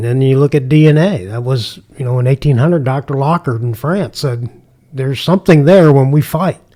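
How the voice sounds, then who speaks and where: A man's medium-pitched voice with a Midwestern American accent, dark, mellow tone and moderate pace, in a dry, close sound with no echo. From US Midwest, St. Louis area. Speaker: retired homicide detective. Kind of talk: casual interview.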